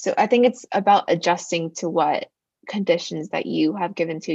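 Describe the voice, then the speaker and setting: A woman with a fairly low pitch talks at a moderate pace. She has an unremarkable speaking voice. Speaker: student podcast host. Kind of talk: casual chat; scripted intro.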